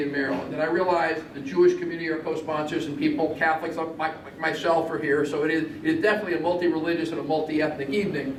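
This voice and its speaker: A man speaks at a fairly high pitch with fairly even intonation. The room echo is audible, and background noise is noticeable. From Italy. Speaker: state senator. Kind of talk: public speech.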